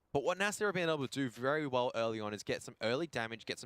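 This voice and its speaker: A man with an Australian accent at a very fast pace, in dry, close sound without echo. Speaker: esports commentator. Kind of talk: live commentary. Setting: live stream broadcast.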